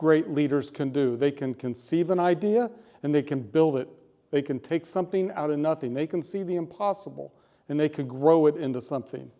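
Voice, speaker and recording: The man talks in a fairly high pitch with a dark, mellow tone. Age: 60s. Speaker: public speaker. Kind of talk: prepared speech.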